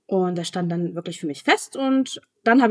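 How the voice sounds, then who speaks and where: A woman's moderately paced speech comes through with a dry, close sound with no echo. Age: 20s. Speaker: author and newspaper editor. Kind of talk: interview. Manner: hesitant, many fillers.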